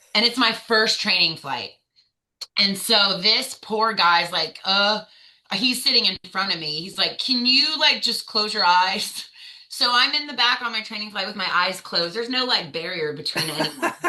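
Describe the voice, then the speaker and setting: With an American accent, a woman talks at a moderate pace in an animated tone with lively intonation. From US South. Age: 30s. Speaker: navy veteran. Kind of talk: interview.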